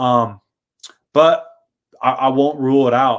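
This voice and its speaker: A man with an American accent speaks in a monotone, flat intonation. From US Pacific Northwest. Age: 20s. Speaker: power lineman and trade educator. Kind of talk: podcast interview.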